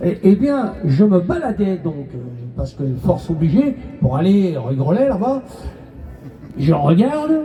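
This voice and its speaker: Long, frequent pauses in very slow talking, with music behind it. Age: 70s. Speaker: motorcyclist protester. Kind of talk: street interview.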